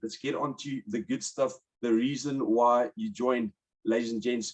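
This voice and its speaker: A man speaks with a South African accent at a moderate pace. His medium pitch has ordinary variation. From South Africa, Port Elizabeth. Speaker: webinar host, commercial property broker. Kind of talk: webinar presentation. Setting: online webinar.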